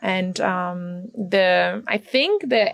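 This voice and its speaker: A woman with a German accent and lively intonation, over noticeable background noise. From Germany. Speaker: retreat participant. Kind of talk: interview. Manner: halting.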